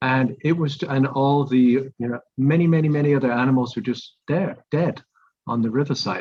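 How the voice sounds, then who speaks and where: At a moderate pace, a man talks with a medium pitch and fairly even intonation. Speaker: environmental advocate. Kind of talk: community presentation. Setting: video call. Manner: soft-spoken.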